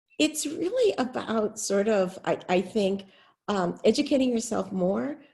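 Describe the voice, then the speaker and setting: With an American accent, a woman speaks fairly slowly in a fairly high, somewhat breathy voice that has a dark, mellow tone and lively intonation. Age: 60s. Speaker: city supervisor. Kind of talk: panel discussion. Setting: webinar.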